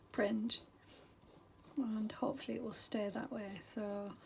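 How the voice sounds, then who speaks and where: A woman speaks with a high-pitched voice at a fairly slow pace. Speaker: craft artist. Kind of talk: casual craft tutorial talk to camera. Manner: hesitant, many filler words.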